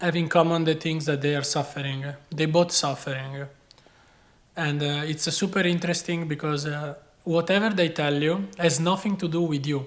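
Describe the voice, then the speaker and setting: Speaking at a moderate pace with long, frequent pauses, a man with a non-native accent has a fairly high pitch and fairly even intonation. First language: not English. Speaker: chef and video creator. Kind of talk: personal advice talk. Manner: casual.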